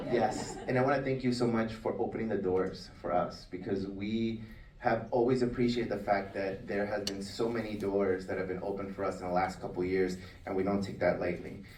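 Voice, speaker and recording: A man with a Spanish accent, fairly low in pitch, at a fairly quick pace with fairly even intonation, in a room with audible echo. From Latin America, Spanish-speaking. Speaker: business owner, food service consultant. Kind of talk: award acceptance speech.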